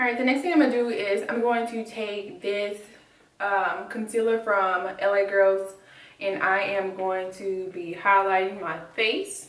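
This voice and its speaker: Speaking at a fairly slow pace, a woman with a medium pitch and fairly even intonation is heard amid noticeable background noise and audible room echo. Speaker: beauty vlogger. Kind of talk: makeup tutorial.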